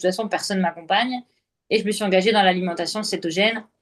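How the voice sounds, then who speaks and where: At a fairly quick pace, a woman talks in a plain, everyday voice. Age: 30s. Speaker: entrepreneur sharing her health story. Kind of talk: interview testimony.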